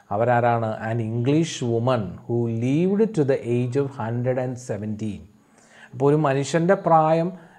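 Medium pitch for a man, with ordinary pitch variation. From Kerala, India. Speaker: English tutor for school students; teacher. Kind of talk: lecture. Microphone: webcam.

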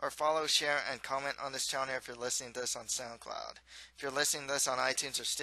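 The reading voice sounds unforced, and its intonation stays fairly even.

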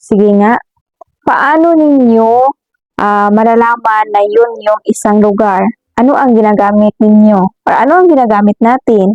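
Using an ordinary speaking voice, a woman talks at a fairly slow pace in a fairly high pitch with ordinary pitch variation, very even loudness, and a dry, close sound with no echo. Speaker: elementary school teacher. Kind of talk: lesson for children.

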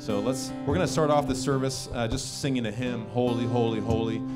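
A man talks fairly quickly while loud music plays behind him. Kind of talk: welcome address to a congregation. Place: stage. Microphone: handheld.

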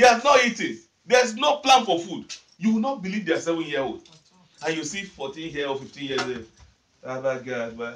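Animated and high-pitched, a man speaks with very wide pitch swings and long, frequent pauses. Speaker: preacher. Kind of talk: fervent congregational prayer and preaching, leading call-and-response with the audience. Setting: church with a live congregation. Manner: fervent, commanding, emphatic, repeating 'Amen' and exhorting the crowd; animated, directive, urging people to stand, sit and pray seriously.

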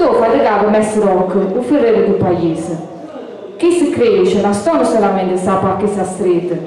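A woman with an Apulian accent speaks at a moderate pace amid light background noise and strong room echo. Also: lively intonation. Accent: Apulian, Giovinazzo dialect. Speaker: dialect poet. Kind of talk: poetry reading. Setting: outdoors, live event. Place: hall.

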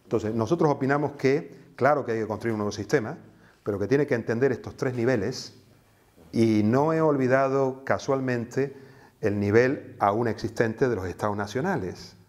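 This man's delivery moves at a moderate speed, and his pitch varies in an ordinary way. Nothing can be heard behind him. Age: 60s. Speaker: activist and teacher; teacher. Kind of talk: interview. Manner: hesitant, with fillers. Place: office. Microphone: lapel.

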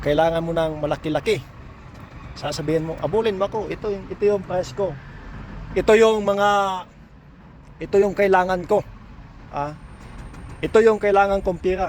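A man's high-pitched voice at a moderate pace, with fairly even intonation and long, frequent pauses. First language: Cebuano (Bisaya) (speaking Tagalog). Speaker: pipe welder and vlogger. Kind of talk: casual advice vlog. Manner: halting.

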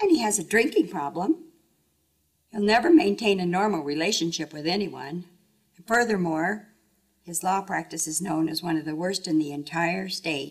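Speaking at a moderate pace with ordinary pitch variation, a woman with a fairly low voice leaves long, frequent pauses against a quiet background. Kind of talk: testimony-style statement in a mock trial. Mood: disparaging, accusatory. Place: hall. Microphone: camera far.

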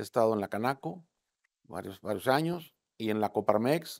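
Against a quiet background, a man speaks at a fairly slow pace. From Mexico, Tamaulipas. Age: 60s. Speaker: political candidate; candidate. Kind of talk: interview. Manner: casual, conversational with fillers. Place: studio. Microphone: lapel.

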